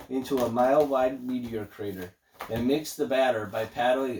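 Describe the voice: The recording features plain reading aloud.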